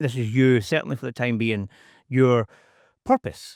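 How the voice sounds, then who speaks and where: On a very clean recording with a silent background, a man speaks at a medium pitch with a Scottish accent. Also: dry, close sound with no echo. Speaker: podcast host. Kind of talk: podcast interview.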